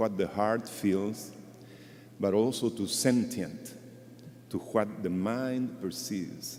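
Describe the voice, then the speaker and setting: A man with a non-native accent, a medium pitch, fairly even intonation and a very slow pace. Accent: non-native English speaker. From Chile. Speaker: conservationist speaker at a memorial. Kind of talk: memorial tribute speech.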